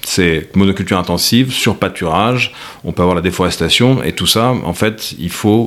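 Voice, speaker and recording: Over noticeable background noise, a man speaks in a very deep, low pitch. His pace is moderate and his pitch variation ordinary. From France. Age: 40s. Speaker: agricultural project founder, former investment director. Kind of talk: interview. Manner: halting, frequent repetitions.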